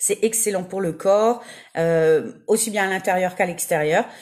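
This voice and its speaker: A woman at medium pitch against noticeable background noise. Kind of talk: livestream casual talk. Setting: Facebook live video. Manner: many fillers (euh); enthusiastic.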